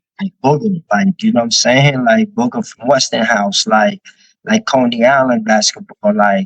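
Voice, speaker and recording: In a New York accent, a man speaks at a fairly slow pace with very wide pitch swings. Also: dry, close sound with no echo. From New York, Brooklyn and Manila. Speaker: rapper. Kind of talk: casual interview chat.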